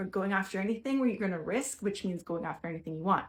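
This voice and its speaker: The voice is somewhat breathy. The recording is very clean, with a silent background. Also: woman. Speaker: mental health coach. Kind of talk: tutorial. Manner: fast.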